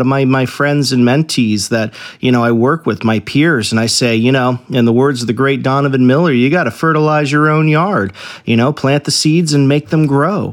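This man has an unremarkable speaking voice, medium in pitch with ordinary pitch variation and very even loudness, at a moderate pace. The recording is very clean, with a silent background. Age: 40s. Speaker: firefighter and podcast host. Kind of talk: motivational talk.

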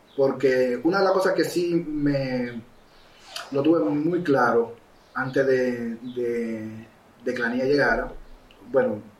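A man talks at a medium pitch. Noticeable background noise and audible room echo surround his voice. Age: 40s. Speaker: filmmaker and photographer. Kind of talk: casual interview.

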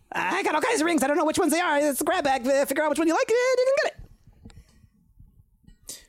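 Someone speaks in a put-on character voice with a high pitch at a very fast pace. Long, frequent pauses break up the speech. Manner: fast, brusque, distracted.

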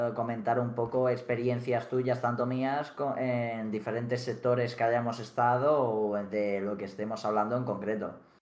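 A man of medium pitch speaks at a fairly slow pace with fairly even intonation, and room echo is audible. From Mallorca, Spain (Felanitx). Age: young. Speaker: streamer. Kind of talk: casual chat.

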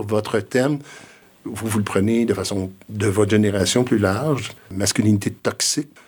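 A man has an unremarkable speaking voice with a fairly low pitch. His intonation is fairly even, and his pace is fairly slow. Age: 60s. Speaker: retired school principal and education consultant. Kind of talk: interview conversation.

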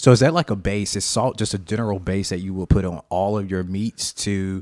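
In a very clean recording with a silent background, a man with a fairly low pitch and an Alabama accent speaks at a fairly quick pace with fairly even intonation. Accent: US Southern (Alabama). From Alabama, Montgomery. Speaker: IT worker, guest interviewer. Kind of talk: casual interview. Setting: studio, recorded with video.

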